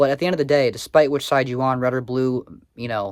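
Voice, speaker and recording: Talking at a very fast pace, a man keeps to a medium pitch. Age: 20s. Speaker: commentary YouTuber. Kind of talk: casual commentary vlog. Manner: casual, many filler words.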